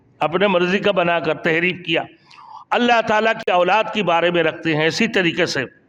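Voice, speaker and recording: Noticeable background noise sits behind a man who speaks at a high pitch with ordinary pitch variation and very even loudness. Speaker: Islamic preacher. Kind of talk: Islamic sermon (bayan).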